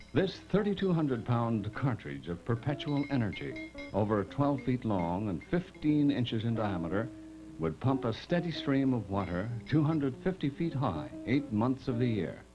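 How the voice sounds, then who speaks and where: Clear music in the background behind a man at a moderate pace. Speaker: documentary narrator. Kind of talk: documentary narration. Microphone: old recording.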